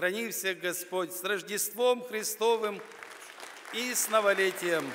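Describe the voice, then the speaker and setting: Pitch varies in an ordinary way as a man talks at a very slow pace. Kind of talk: festive address speech. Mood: warm, solemn, festive. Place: stage.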